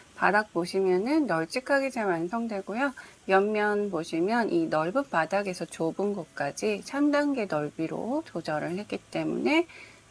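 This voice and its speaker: The pitch swings very widely at a fairly slow pace, with hardly any pauses. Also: woman, medium pitch for a woman. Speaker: crochet tutorial creator. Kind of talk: tutorial.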